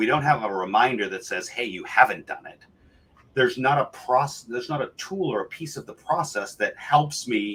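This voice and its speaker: A man with a medium pitch and a bright, sharp tone talks at a moderate pace with lively intonation. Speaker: compliance software entrepreneur. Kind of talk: interview.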